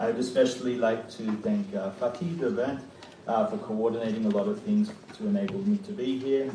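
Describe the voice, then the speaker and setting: A man speaks at a moderate pace, his pitch swinging very widely. Room echo is audible and background noise is noticeable. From Australia. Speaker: professor. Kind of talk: keynote lecture. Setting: conference hall with audience.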